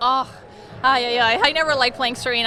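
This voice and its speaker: A woman speaks in a high voice with fairly even intonation. Noticeable noise sits in the background. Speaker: retired professional tennis player. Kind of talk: interview answer. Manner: soft-spoken.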